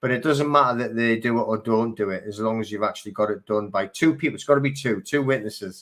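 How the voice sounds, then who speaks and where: A man talks at a very fast pace with hardly any pauses. His medium pitch shows ordinary variation. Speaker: live stream host. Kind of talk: live stream chat reading viewer comments. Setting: live video stream. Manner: casual, halting with fillers.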